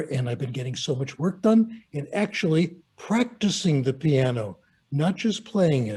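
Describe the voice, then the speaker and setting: A man's fairly high, somewhat breathy voice with a dark, mellow tone. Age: 80s+. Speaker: retired professor. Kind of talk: panel discussion.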